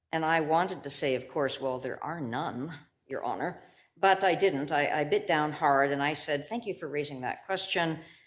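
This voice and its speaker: A woman's very deep, low voice at a moderate pace, with ordinary pitch variation and audible room echo. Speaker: lawyer and bone marrow donor patient partner. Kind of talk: conference talk. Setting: symposium stage.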